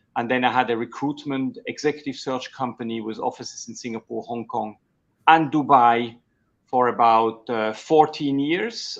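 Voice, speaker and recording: A man speaks in a Swiss German accent. His voice is medium in pitch with fairly even intonation. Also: moderate pace, quiet background. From Switzerland. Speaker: executive coach. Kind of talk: interview. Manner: halting.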